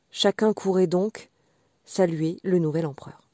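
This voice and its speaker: A woman's very slow voice, dark and mellow yet gentle and warm, on a very clean recording with a silent background and a dry, close sound free of echo. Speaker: audiobook reader. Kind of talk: bedtime story reading, scripted fairy-tale narration. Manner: slow, soft, gentle storyteller's pace with warm expressive lilt.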